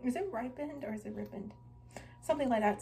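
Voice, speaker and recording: A woman speaks in an American accent. Loud background noise surrounds her. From California. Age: 20s. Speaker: YouTuber. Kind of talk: product haul vlog. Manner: casual, hesitant with frequent ums. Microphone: phone near.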